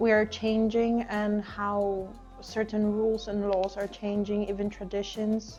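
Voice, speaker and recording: Over music in the background, a woman with a Polish accent speaks fairly slowly in a fairly high pitch. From Poland. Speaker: panel guest. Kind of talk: casual group discussion.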